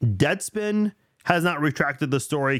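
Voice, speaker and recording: A normal speaking voice with lively intonation, dry and close with no echo, on a very clean recording with a silent background. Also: man. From immigrated to the US as a child from abroad. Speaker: sports podcast host. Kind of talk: casual solo sports podcast with live chat comments.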